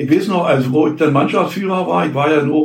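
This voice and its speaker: A man's fairly high voice at a fairly quick pace, with audible room echo and noticeable background noise. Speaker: former amateur footballer. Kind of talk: interview reminiscence. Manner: halting.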